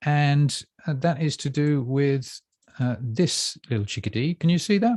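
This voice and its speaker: A somewhat breathy man at a fairly high pitch and fairly slow pace, with lively intonation and a dry, close sound with no echo against a quiet background. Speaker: bookshop staff presenter. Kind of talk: casual chat. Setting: live stream. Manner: halting, many fillers.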